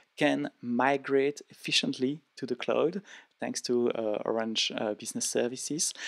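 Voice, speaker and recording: A man with a French accent speaks at a fairly slow pace. The recording is dry and close, with no echo. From France. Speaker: event session host. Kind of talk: interview.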